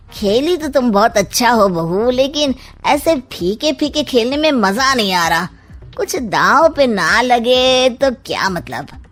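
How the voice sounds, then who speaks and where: A woman's high, cartoonish character voice with very wide pitch swings at a fairly slow pace, over faint music in the background. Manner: sly, sarcastic.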